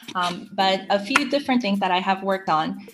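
A woman's medium-pitched voice with ordinary pitch variation, music in the background. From Saudi Arabia, international school; Korean family, moved to US in high school. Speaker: environmental education adviser. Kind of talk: interview.

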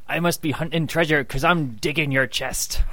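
A man speaks in a put-on character voice. His pitch sits fairly high and his pace is fairly quick. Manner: hammy, playful.

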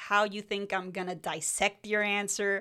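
With a Spanish accent, a woman speaks at a fairly slow pace. Her tone is bright and sharp. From Mexico, then California. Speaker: podcast co-host. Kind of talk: casual chat.

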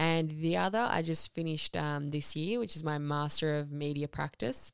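In an Australian accent, a woman with a very deep, low pitch speaks at a fairly quick pace. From Balkans (born in Croatia, childhood in Serbia), then Sydney from age eight. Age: 20s. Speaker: podcast host. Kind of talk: scripted monologue introduction.

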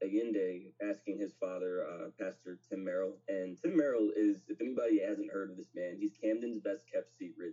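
An unremarkable speaking voice from a man with an American accent, fairly low in pitch, with ordinary pitch variation at a moderate pace. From New Jersey, Pennsauken. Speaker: poet and nonprofit co-founder. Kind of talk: casual chat.

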